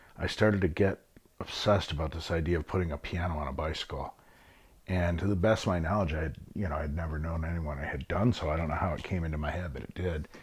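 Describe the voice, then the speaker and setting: Someone with a Midwestern American accent talks at a very fast pace in a somewhat breathy voice. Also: man, very deep, low pitch for a man, fairly even intonation. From Michigan, Flint. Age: 60s. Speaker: musician. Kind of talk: interview. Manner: hesitant, filler words.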